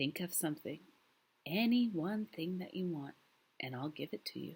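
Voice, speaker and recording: Using a put-on character voice, a woman sounds raspy. Her pitch is fairly low and her pace moderate. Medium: read story. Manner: soft, gentle, somewhat gloomy.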